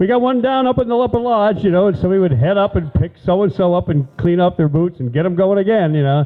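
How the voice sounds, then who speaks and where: A man talks at a very fast pace with hardly any pauses. His high voice has lively intonation. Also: very even loudness. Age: 70s. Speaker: local storyteller. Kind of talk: storytelling talk.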